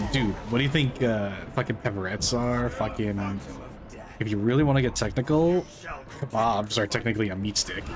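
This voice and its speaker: A man speaks in an animated tone at a fairly quick pace, with medium pitch and ordinary pitch variation. His loudness stays very even, and noticeable background noise is present. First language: not English. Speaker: VTuber gaming streamer. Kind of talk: casual chat while gaming.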